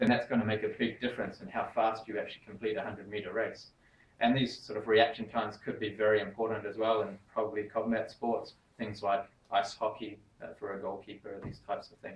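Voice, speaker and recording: A man's somewhat breathy, medium-pitched voice, fairly quick and flat in a monotone, with audible room echo. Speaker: sports science researcher. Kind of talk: lecture. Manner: fast.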